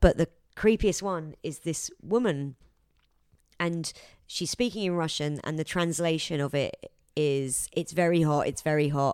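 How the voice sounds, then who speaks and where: A woman with a plain, everyday voice speaks fairly slowly at a fairly low pitch with ordinary pitch variation. The recording is very clean, with a silent background and a dry, close sound with no echo. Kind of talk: casual chat. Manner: informal, joking.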